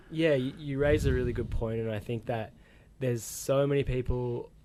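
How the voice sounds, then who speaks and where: A man speaks with an Australian accent in a dark, mellow tone. His pitch is medium, his intonation fairly even and his pace moderate. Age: young. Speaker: podcast host. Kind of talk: casual interview chat. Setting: radio studio.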